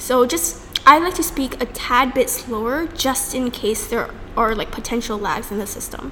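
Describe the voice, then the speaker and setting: Over noticeable background noise and audible room echo, a high-pitched woman talks with lively intonation. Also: moderate pace, big swings in loudness. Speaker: debate podcast co-host. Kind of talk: casual chat.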